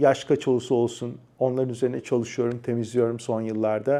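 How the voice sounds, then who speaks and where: A man talks at a fairly quick pace with a dark, mellow tone. The background is quiet. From Turkey, Adana. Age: 40s. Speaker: personal development YouTuber. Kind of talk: personal storytelling monologue.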